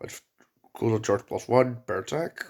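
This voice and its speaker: A quiet man's voice at a medium pitch, with ordinary pitch variation. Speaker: gaming youtuber. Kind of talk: game reaction video. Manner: halting.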